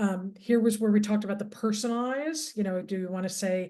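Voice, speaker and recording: Her voice is somewhat breathy, with a dark, mellow tone. This woman speaks at medium pitch with fairly even intonation. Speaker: digital marketing mentor. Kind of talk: tutorial. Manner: hesitant, many fillers.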